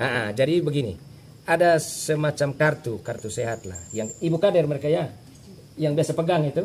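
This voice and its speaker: A man talks with lively intonation in a somewhat breathy voice, pitched fairly high. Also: fairly quick pace. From Flores (Manggarai), raised in Timor, Indonesia. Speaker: acting village head. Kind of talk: interview. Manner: halting, many fillers.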